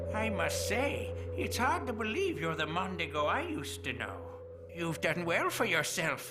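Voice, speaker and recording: Over loud background noise, a cartoonish character voice talks at a moderate pace. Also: man. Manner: sly, chuckling.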